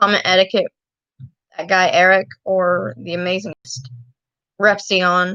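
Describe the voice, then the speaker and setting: A woman with an American accent speaks at a fairly slow pace in a bright, sharp, medium-pitched voice with fairly even intonation and long, frequent pauses. The sound is dry and close with no echo. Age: 20s. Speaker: YouTuber. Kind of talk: casual livestream talk. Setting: livestream. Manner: halting. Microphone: laptop.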